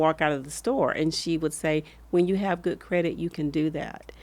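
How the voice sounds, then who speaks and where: A woman's very deep, low voice with an American accent and fairly even intonation, in a very clean recording with a silent background. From US South, rural Alabama. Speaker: former hospital executive. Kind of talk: podcast interview.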